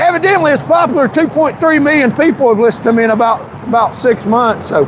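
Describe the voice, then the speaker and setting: A man at an extremely high pitch with a Tennessee accent, very fast pace, lively intonation and very even loudness, over noticeable background noise. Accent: Southern US (Tennessee). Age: 60s. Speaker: political YouTuber and candidate. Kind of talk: live street interview. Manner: halting, repetitive; joking, casual.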